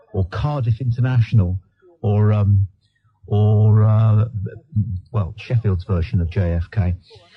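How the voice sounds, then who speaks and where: With music in the background and a dry, close sound with no echo, a man speaks at a fairly low pitch with fairly even intonation and long, frequent pauses. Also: fairly slow pace. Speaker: radio talk show host. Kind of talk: radio phone-in talk show host. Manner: exasperated, sarcastic, dismissive.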